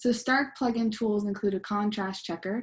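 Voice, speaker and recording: A woman speaks at medium pitch in a somewhat breathy voice. Her intonation is fairly even, and the background is quiet. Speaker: UX designer giving a workshop talk. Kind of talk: presentation. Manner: fast; hesitant, many ums.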